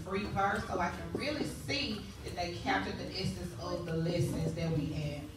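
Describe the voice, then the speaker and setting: Speech at a moderate pace amid loud background noise and audible room echo. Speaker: teacher and event emcee. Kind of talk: event emceeing to an audience. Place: hall.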